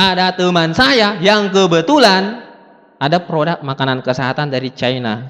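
At a moderate pace, a man talks with a high pitch and lively intonation. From South Sulawesi, Bugis. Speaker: motivational speaker. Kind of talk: motivational seminar talk. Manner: animated.

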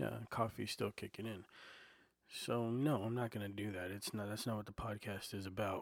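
A soft-spoken man talks at a moderate pace with a fairly low pitch. His intonation is fairly even, and the recording is very clean with a silent background. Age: 40s. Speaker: podcaster and aspiring comedian. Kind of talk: casual solo monologue. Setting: home recording on a portable recorder. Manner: soft-spoken, filler-heavy; not loud, laid-back listener.

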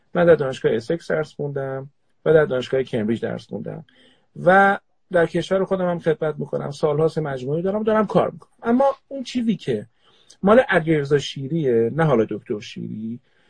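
Very wide pitch swings, big jumps in loudness, and a very fast pace. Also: man, fairly high pitch for a man. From Tehran, Iran. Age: 40s. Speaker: organizational psychologist. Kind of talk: casual chat.

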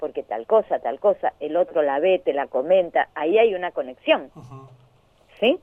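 A woman with a Rioplatense accent speaks at a fairly low pitch, with very wide pitch swings and big swings in loudness. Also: moderate pace. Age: 60s. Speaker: educator and social psychologist. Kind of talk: interview. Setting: phone call. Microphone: phone.

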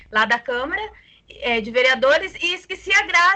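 A raised, projected voice with lively intonation. Noticeable background noise runs underneath. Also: woman. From Brazil, interior of Mato Grosso (Tangará da Serra). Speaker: community activist. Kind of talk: casual panel conversation.

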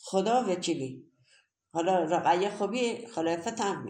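In a room with audible echo, a woman talks at a moderate pace and medium pitch, her tone animated and her intonation lively. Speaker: grandmother. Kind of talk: interview.

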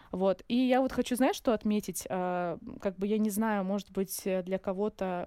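A woman speaks at a moderate pace and medium pitch, her dark, mellow tone moving in fairly even intonation. The sound is dry and close with no echo, in a very clean recording with a silent background. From Russian North near Surgut, born in Dagestan. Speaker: pharmacist and healthy-eating blogger. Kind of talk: casual interview.

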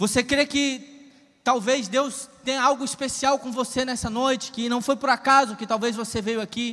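A man's raised, projected voice at an extremely high pitch and a moderate pace. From Ceará, Brazil (rural interior). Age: 30s. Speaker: preacher. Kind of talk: sermon. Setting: church. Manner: animated.

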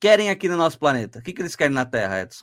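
Speaking with very wide pitch swings, a man rises and falls sharply in tone. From Santos, Brazil. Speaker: podcast host. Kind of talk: casual podcast interview. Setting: online/livestream with chat.

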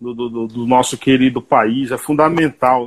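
A man talks in a normal speaking voice. His intonation is fairly even. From Bahia, Brazil. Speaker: radio host. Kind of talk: interview.

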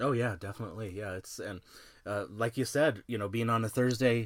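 At a moderate pace, a man talks in a normal speaking voice whose intonation is fairly even. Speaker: wrestling podcast host. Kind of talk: casual podcast preview chat.

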